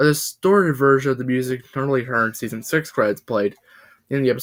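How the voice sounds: A natural reading voice carries ordinary pitch variation. The background is quiet.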